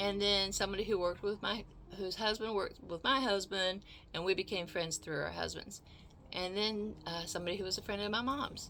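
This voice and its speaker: A woman's bright, sharp tone with vocal fry at a fairly quick pace. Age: 60s. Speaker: video blogger. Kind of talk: casual storytelling monologue. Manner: halting, many repeated words.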